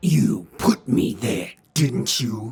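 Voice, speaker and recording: A man does a put-on character voice at a medium pitch. It comes out gruff and growling. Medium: read story. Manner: gruff, terse.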